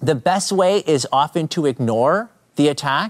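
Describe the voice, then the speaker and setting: In a Canadian accent, the speaker goes at a very slow pace with very wide pitch swings, in a dry, close sound with no echo. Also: man. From Canada. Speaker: apologetics speaker and YouTube creator. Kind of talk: casual interview chat.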